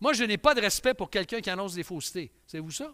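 A man talks in a raised, projected voice with a high pitch and a bright, sharp tone. His pitch swings very widely over a quiet background. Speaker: pastor. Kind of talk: sermon. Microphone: headset.

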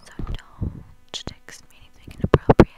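A woman is whispering. The sound is dry with no echo, but the background noise is loud. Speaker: ASMR creator. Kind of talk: soft ASMR talk to viewer. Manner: close intimate ASMR whisper. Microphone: lapel.

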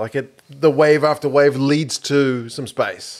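Against a quiet background, a man with a New Zealand accent speaks at a fairly slow pace. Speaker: sports podcast co-host. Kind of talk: casual chat. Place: studio. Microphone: studio mic.

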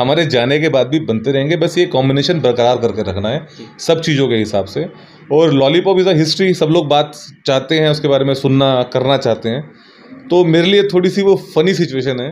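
Fairly high male voice at a moderate pace, with ordinary pitch variation. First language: Bhojpuri (speaking Hindi). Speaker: music composer; interviewee. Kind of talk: interview. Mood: relaxed, cheerful. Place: home room. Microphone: handheld.

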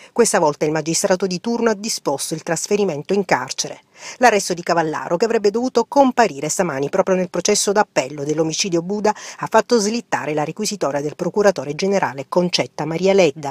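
A woman's medium-pitched voice at a very fast pace with lively intonation, in a dry, close sound with no echo. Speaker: TV news reporter. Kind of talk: news reading.

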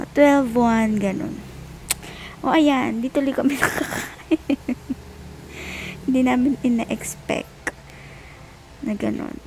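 Over light background noise, a woman with a high pitch and a weary tone speaks at a very slow pace, with long, frequent pauses. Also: ordinary pitch variation, dry sound with no echo. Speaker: expectant mother vlogger. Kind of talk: casual vlog chat. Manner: sleepy, weary voice in hospital bed. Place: home room. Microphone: earbuds.

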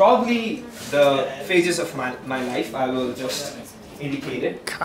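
A man's fairly high-pitched voice with lively intonation, amid noticeable background noise. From Nepal. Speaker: student. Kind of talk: student class presentation. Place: hall. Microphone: camera far.

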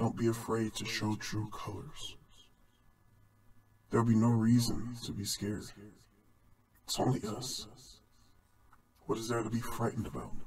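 Using a put-on character voice, the speaker keeps a moderate pace with long, frequent pauses. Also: man, medium pitch for a man. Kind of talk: short film dialogue. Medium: stage. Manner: mocking, menacing.

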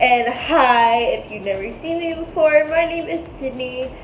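Light background noise and audible room echo surround a woman speaking at a very slow pace with ordinary pitch variation. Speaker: vlogger. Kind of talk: casual vlog chat. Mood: cheerful, laughing often. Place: home room. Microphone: phone near.

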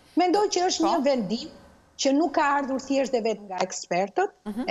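A woman's pitch swings very widely as she speaks at a fairly quick pace. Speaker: university lecturer. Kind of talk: TV interview. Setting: Skype video call.

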